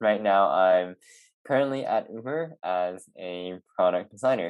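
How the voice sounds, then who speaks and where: With a Canadian accent, the voice moves at a fairly slow pace with lively intonation. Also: man, fairly low pitch for a man. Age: 20s. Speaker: product designer with chronic illness. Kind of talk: interview. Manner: hesitant, many fillers.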